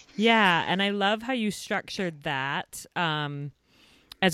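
A woman with an ordinary speaking voice, fairly low in pitch, with lively intonation. The sound is dry and close, with no echo. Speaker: podcast host for mothers. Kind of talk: interview.

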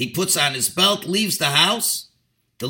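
Plain reading aloud over a quiet background

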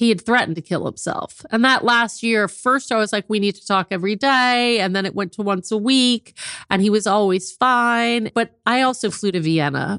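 A woman's fairly high voice, an unremarkable speaking voice, at a moderate pace with ordinary pitch variation and a dry, close sound with no echo. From US Midwest, South Bend, Indiana. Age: 50s. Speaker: author. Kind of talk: interview, personal story.

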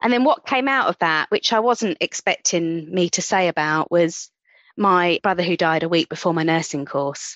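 A woman speaks in a passionate, warm tone with lively intonation and a fairly low pitch. Her pace is moderate and her loudness very even. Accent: London. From central London. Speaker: nurse and sonographer. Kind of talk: casual interview chat.

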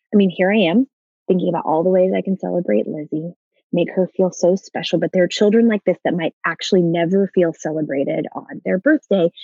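Speaking fairly quickly with an American accent, the voice shows ordinary pitch variation over music in the background. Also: woman, fairly low pitch for a woman. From Dallas, Texas. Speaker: nonprofit founder. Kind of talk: interview. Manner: animated.

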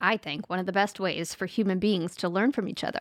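A woman with an American accent and a plain, everyday voice, medium in pitch with ordinary variation, on a very clean recording with a silent background. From US South. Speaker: podcast co-host. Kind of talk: casual chat. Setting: home studio in spare room.

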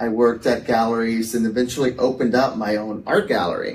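This is an ordinary speaking voice. A man with an American accent talks at a medium pitch and moderate pace. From Texas. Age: 40s. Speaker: artist and gallery owner. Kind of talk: casual interview chat. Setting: in-person studio recording with hosts.

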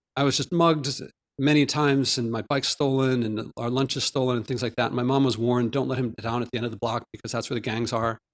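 Fairly quick and fairly even in intonation, a man talks in a plain, everyday voice at medium pitch. The sound is dry and close, with no echo. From US Northeast, Philadelphia. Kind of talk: interview.

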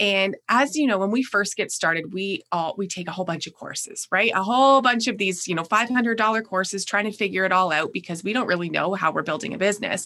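A bright, sharp tone with a Canadian accent at a fairly quick pace. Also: woman. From Canada. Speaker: operations director and systems strategist. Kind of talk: casual interview. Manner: fast.

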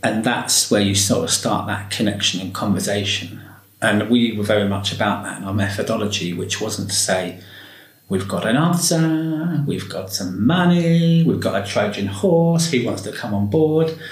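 A man with a fairly low voice speaks at a moderate pace, his pitch swinging very widely, with audible room echo and noticeable background noise. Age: 40s. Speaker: education and care worker. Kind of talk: interview. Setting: library.

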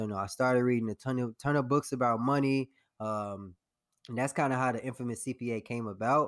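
In an ordinary speaking voice with an American accent, a man talks fairly quickly at a medium pitch with fairly even intonation, in a very clean recording with a silent background and a dry, close sound with no echo. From Chicago south suburbs (Harvey, Illinois). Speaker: accountant and investor. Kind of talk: interview.

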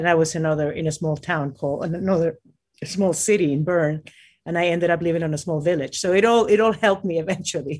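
A woman with a Spanish accent talks at a very fast pace. Her pitch is fairly low, and her intonation is fairly even. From Peru, Lima. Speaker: mountaineer. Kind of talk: interview. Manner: halting.

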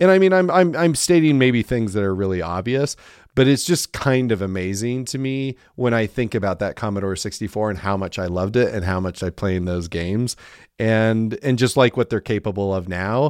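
A man's normal speaking voice, medium in pitch, fairly quick, with lively intonation and a dry, close sound with no echo on a very clean recording against a silent background. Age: 40s. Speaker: podcast host. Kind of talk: casual chat.

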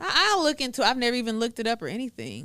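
Very fast speech with an American accent. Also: woman. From Texas, Waco area. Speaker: notary and YouTuber. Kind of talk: casual interview chat.

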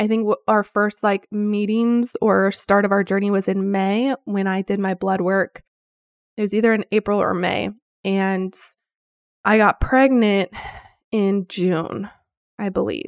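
A woman speaks at a fairly slow pace in a medium pitch, with long, frequent pauses and a monotone, flat delivery. The background is quiet, and the sound is dry and close with no echo. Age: 30s. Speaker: podcast host. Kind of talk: casual monologue.

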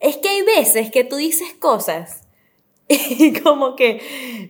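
A woman's very slow speech with very wide pitch swings. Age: 20s. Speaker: TV presenter. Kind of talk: casual interview chat.

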